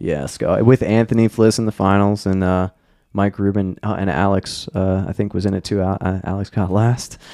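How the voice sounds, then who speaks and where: In an ordinary speaking voice, a man with an American accent talks at a moderate pace with fairly low pitch and fairly even intonation. The background is quiet, and the sound is dry and close with no echo. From Maryland, US. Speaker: downhill skateboarder and event organizer. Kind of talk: casual chat.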